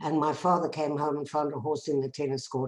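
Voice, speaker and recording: In a South African accent, a woman speaks with a very deep, low pitch. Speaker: bereaved mother and peace activist. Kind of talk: personal testimony talk.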